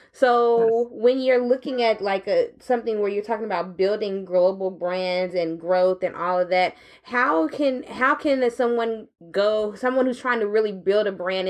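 A woman speaks in a plain, everyday voice at medium pitch. Her pace is moderate, with ordinary pitch variation. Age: 30s. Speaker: podcast host. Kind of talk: interview conversation. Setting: live at a tech summit.

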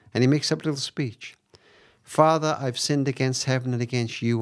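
Someone with a Cardiff accent is heard on a very clean recording with a silent background. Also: man. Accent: Welsh, Cardiff. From Cardiff, Wales. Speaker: author and charity founder. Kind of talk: interview conversation, storytelling. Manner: hesitant, reflective.

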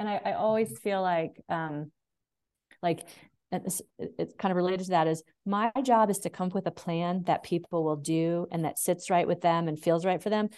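A woman talks in an ordinary speaking voice at a fairly low pitch and a moderate pace. Her intonation stays fairly even against a quiet background. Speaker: dog behaviorist and author. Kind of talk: casual interview chat.

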